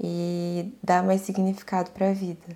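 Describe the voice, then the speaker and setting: Speaking at a fairly slow pace, a woman has a fairly low pitch and a warm, dark, mellow tone. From Brazil, mostly North and Northeast (Bahia, Pará, Amapá). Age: 20s. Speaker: podcast host. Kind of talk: personal monologue. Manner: casual, warm.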